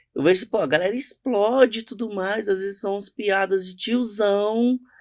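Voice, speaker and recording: A man's high-pitched voice at a moderate pace, with a dry, close sound free of echo and a very clean recording over a silent background. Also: ordinary pitch variation. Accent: Minas Gerais. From Brazil, Minas Gerais (Contagem). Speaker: journalist and cultural entrepreneur. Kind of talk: podcast interview.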